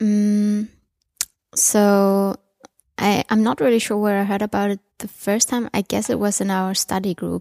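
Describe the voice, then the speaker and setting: A woman's unremarkable speaking voice, medium in pitch, with fairly even intonation, a fairly slow pace and a dry, close sound with no echo. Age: 20s. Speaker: open source program participant. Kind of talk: interview.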